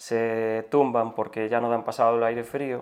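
Against a quiet background, a man speaks at a medium pitch and fairly slow pace in a monotone, flat intonation. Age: 40s. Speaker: forest firefighter. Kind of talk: interview.

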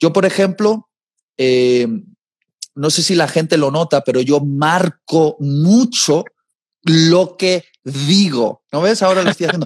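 This man talks at a very slow pace with long, frequent pauses, his pitch fairly high and its variation ordinary. The sound is dry and close, with no echo. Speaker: preacher. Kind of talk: casual chat. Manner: deliberate, clearly enunciated.

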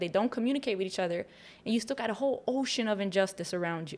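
Talking at a very fast pace, a woman speaks with an American accent. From Chicago, South Side. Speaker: community activist. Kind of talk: casual chat. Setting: studio.

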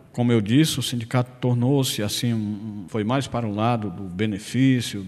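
Speaking at a moderate pace, a man uses medium pitch with ordinary pitch variation. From Ceará, Brazil (Irauçuba). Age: 50s. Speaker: former rural union leader and local politician. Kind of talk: radio interview. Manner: halting, with repetitions.

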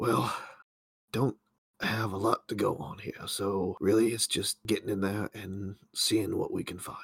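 A raspy, put-on character voice moves at a moderate pace. The sound is dry and close, with no echo. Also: man, fairly low pitch for a man. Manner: sardonic, gruff.

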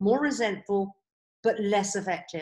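A woman with medium pitch speaks at a moderate pace in an ordinary speaking voice. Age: 50s. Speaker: life coach. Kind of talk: interview, coaching advice.

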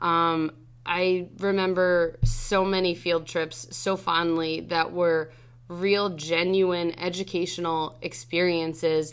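Very slowly and at very even loudness, a woman speaks in a fairly low pitch. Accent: American. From New Jersey (Freehold). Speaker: high school Spanish teacher. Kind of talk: casual interview. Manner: animated.

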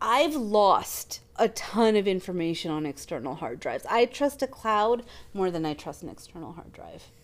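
At a moderate pace, a woman talks with very wide swings in her pitch. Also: medium pitch for a woman. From Canada. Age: 30s. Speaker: podcast co-host. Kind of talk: casual chat.

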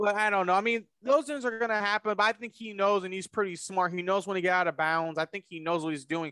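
Speaking in a raised, projected voice, a man with a high pitch talks at a very fast pace with hardly any pauses, in a dry, close sound with no echo. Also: ordinary pitch variation. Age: 20s. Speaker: sports podcast co-host. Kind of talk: casual chat.

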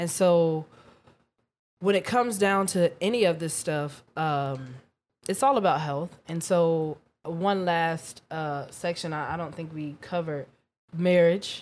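A woman with a plain, everyday voice at a fairly slow pace. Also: fairly low pitch for a woman, ordinary pitch variation. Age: 20s. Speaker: podcast host. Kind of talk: casual chat.

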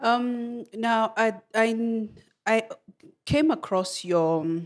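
A woman with a Kenyan accent and ordinary pitch variation. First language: Kenyan language. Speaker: podcast host. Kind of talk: interview conversation. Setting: studio. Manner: halting, many fillers and repetitions.

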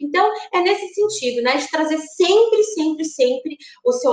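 A woman speaks at a moderate pace, her pitch swinging very widely. The room echo is audible, and background noise is noticeable. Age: 30s. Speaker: direct sales consultant. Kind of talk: webinar lecture. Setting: live stream.

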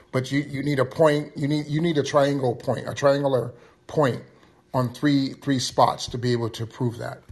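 A man's somewhat breathy, fairly high voice, monotone and flat, at a moderate pace. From Johannesburg, South Africa. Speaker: audience participant.

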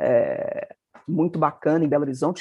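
A plain, everyday voice from a woman, pitched fairly low and moving at a moderate pace. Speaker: magazine editor-in-chief, journalist. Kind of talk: interview conversation.

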